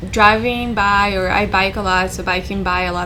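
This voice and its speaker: A woman talks at a fairly slow pace with a Spanish accent. Room echo and background noise are both noticeable. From South America. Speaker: civil engineer. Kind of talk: interview testimony.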